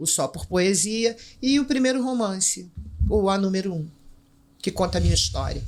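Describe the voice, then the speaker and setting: With a Rio de Janeiro accent, a woman at medium pitch speaks at a moderate pace, using lively intonation and long, frequent pauses. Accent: Rio de Janeiro Portuguese (carioca). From Brazil, Rio de Janeiro favela. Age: 60s. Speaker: writer and teacher, former drug trafficker. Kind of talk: podcast interview.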